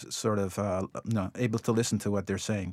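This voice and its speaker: This man speaks with a slight Jamaican accent. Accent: slight Jamaican lilt. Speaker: artist. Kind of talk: interview. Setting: remote studio.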